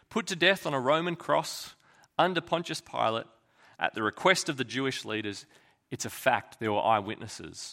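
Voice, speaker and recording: An Australian-accented man at a moderate pace and medium pitch, bright and sharp in tone with vocal fry and very wide pitch swings, in a very clean recording over a silent background. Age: 30s. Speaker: pastor. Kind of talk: sermon.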